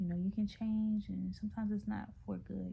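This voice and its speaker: A woman speaks in a whisper. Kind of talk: casual talk to camera. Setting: at home, away from desk. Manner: whispering; hesitant, many fillers.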